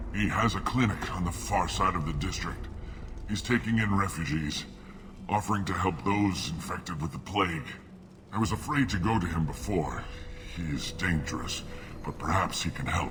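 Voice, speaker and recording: A man puts on a character voice with a very deep, low pitch, talking at a moderate pace. He leaves long, frequent pauses over clear background noise. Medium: video game. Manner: bitter, accusatory.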